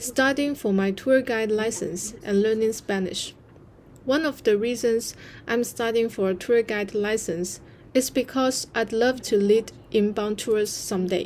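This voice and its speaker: A woman with a Chinese accent, fairly high pitch and fairly even intonation. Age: 30s. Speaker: content creator. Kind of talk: vlog narration.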